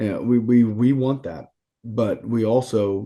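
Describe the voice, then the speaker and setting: Against a quiet background, a man speaks in a dark, mellow tone with a fairly low pitch and fairly even intonation. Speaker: podcast guest, sports coach. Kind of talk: casual chat. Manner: loud.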